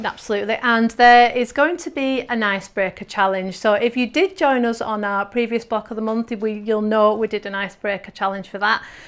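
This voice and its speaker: A woman with an English accent talks at a fairly quick pace, her fairly high pitch moving with ordinary variation. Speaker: quilting teacher and presenter. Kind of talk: live webinar presentation. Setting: studio. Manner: upbeat.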